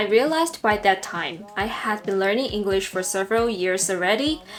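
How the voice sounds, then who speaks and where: Over music in the background, a woman with a Hong Kong accent talks at a moderate pace and medium pitch. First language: Cantonese. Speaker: English teacher. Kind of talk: personal story.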